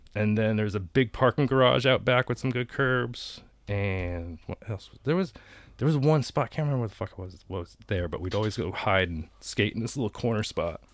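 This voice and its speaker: With an unremarkable speaking voice and an American accent, the speaker moves at a fairly quick pace with lively intonation and big swings in loudness in a very clean recording with a silent background. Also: man, medium pitch for a man. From Connecticut, US (Danbury). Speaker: artist and skateboarder. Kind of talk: casual chat. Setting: in a camper.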